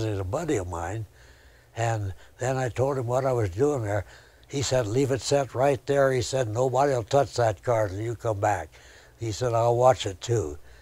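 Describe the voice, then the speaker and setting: A man with an American accent speaks at a moderate pace and medium pitch, his tone dark, mellow and somewhat breathy, with ordinary pitch variation. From US Midwest, Indiana (Elkhart). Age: 80s+. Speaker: storyteller. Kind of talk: interview storytelling. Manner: folksy, conversational.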